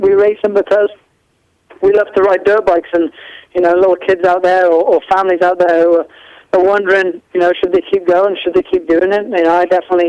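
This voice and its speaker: A man talks very fast at a high pitch with an English accent and monotone, flat intonation. The sound is dry and close with no echo, and his loudness is very even. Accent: English-sounding. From mid Wales. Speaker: motorcycle racer. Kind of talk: interview. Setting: live internet radio.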